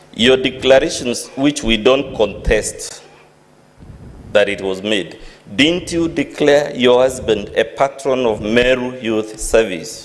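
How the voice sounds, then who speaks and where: Speaking at a very slow pace with a non-native accent, a man uses a medium pitch and ordinary pitch variation. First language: not English. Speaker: lawyer cross-examining witness. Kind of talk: cross-examination at impeachment hearing. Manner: formal.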